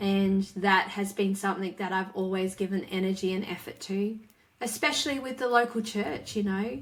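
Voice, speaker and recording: In an Australian accent, a woman of medium pitch speaks at a moderate pace with ordinary pitch variation. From Western Australia. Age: 40s. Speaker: author and speaker. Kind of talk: interview conversation.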